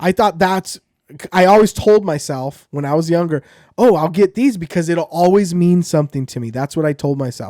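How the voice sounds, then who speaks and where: At a fairly quick pace, a normal speaking voice comes through with ordinary pitch variation. The recording is very clean, with a silent background and a dry, close sound with no echo. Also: man. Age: 30s. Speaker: podcast guest. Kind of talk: casual chat.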